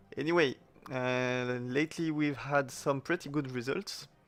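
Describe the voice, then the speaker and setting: Speaking fairly slowly with a non-native accent, a man keeps his intonation fairly even. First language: not English. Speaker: gaming clan leader / video commentator. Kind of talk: gameplay commentary. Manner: hesitant, many fillers. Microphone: new microphone, sound slightly better.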